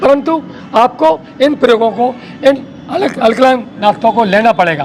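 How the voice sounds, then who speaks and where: Extremely high in pitch, a man speaks with lively intonation and very even loudness over noticeable background noise. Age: 60s. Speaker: wellness group organizer. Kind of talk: interview. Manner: emphatic.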